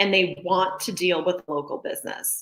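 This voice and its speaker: A woman with an American accent and a plain, everyday voice talks at a moderate pace, her pitch fairly low with ordinary pitch variation. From Montana, US. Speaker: real estate agent hosting a local business livestream. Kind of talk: live stream presentation. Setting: home office, live video stream. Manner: casual, chatty.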